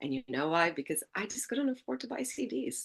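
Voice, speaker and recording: A woman with an Albanian accent, fairly quick pace, lively intonation and an animated tone. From Albania, moved to Canada as a child. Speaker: music blogger and agency founder. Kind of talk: casual interview chat.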